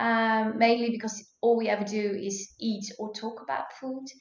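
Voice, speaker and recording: Fairly high-pitched woman's voice with audible room echo. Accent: Dutch. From Netherlands. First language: Dutch. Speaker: food blogger and cookbook author. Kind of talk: podcast interview. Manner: hesitant, many fillers.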